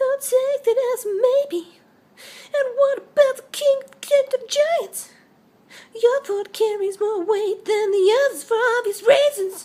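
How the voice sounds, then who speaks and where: A squeaky put-on character voice with an extremely high pitch moves at a fairly slow pace with long, frequent pauses. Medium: read story. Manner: sarcastic.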